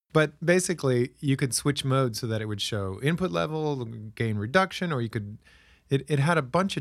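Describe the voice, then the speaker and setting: In a very clean recording with a silent background, a man with an ordinary speaking voice talks at a medium pitch and a fairly quick pace, with lively intonation. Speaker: podcast host. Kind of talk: casual chat.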